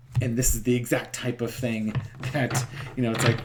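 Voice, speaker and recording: Talk at a very fast pace, with noticeable background noise behind it. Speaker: tarot reader. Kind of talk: casual chat. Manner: soft-spoken; hesitant, many fillers.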